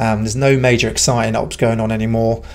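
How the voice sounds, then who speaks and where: A man delivers his words at a moderate pace in a flat, monotone intonation. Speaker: channel host. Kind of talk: casual vlog chat. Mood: relaxed, reflective, some laughs. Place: garage. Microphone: studio mic.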